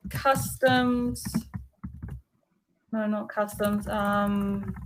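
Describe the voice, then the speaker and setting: Somewhat breathy and fairly even in intonation, a woman speaks at a medium pitch with audible room echo. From New Zealand. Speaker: English tutor. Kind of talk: online lesson conversation.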